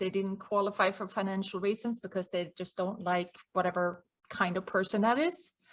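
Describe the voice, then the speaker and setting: The speaker has a Swedish accent and fairly even intonation. The recording is very clean, with a silent background. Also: woman. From Sweden. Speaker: business owner and cost consultant. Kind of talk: interview.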